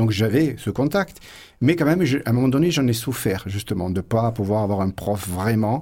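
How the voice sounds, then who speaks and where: On a very clean recording with a silent background, a man with a fairly low pitch and a dark, mellow tone speaks at a moderate pace with lively intonation. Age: 50s. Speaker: flamenco guitarist. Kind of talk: radio interview.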